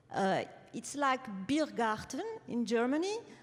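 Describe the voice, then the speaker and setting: In a French accent, a woman speaks at a very slow pace. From France. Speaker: publisher and author. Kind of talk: award acceptance speech. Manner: reading from notes.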